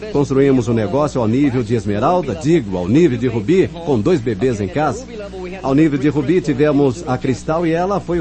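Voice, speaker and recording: A man speaks at a moderate pace with a fairly high pitch and lively intonation. He has an English accent, and there is noticeable background noise. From New York, the Bronx. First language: English (speaking Portuguese). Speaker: network marketing speaker, former detective. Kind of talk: motivational talk. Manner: animated.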